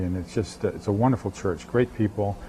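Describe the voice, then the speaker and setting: A man talks with a New England accent. Noticeable background noise is present. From New England, Boston area. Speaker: pastor. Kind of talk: TV interview.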